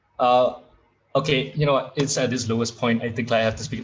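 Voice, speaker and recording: A man talks at a very fast pace. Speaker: university debater. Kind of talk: competitive debate speech. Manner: loud. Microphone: echoey audio.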